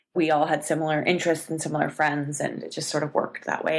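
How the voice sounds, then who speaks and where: A woman with a Canadian accent talks at a very fast pace. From Canada. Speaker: actor. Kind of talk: podcast interview answer.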